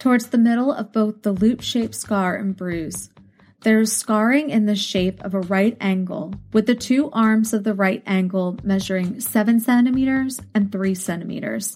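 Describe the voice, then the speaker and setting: Over a very clean recording with a silent background, a woman speaks at a moderate pace in a fairly high, somewhat breathy voice with ordinary pitch variation. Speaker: true crime podcast host. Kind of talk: true-crime narration. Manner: grave, measured, clinical; even, steady reading of facts.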